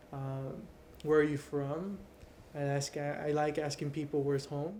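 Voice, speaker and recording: With a Californian accent, the speaker talks at a moderate pace in a dark, mellow tone. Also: man. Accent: Californian American English. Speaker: university student. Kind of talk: interview. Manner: casual.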